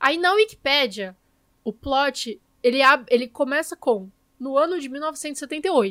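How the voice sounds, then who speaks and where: The voice has lively intonation and a dry, close sound with no echo. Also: woman. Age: 20s. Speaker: podcast host. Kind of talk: casual chat.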